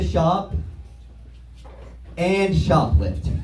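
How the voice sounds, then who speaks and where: Music plays behind a man talking at a very slow pace. The room has an audible echo. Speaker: stand-up comedian. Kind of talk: stand-up. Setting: stage with audience.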